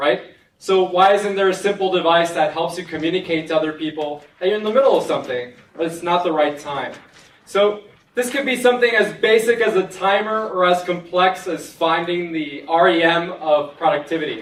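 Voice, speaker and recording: The voice is loud over noticeable background noise. It moves at a fairly quick pace with ordinary pitch variation. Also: man, high pitch for a man. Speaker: hackathon participant pitching an idea. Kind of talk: idea pitch.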